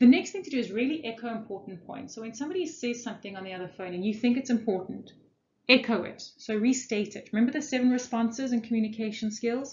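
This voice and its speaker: Speaking very fast with lively intonation, a woman with a somewhat breathy, fairly high voice is heard in audible room echo. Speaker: corporate trainer. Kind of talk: lecture.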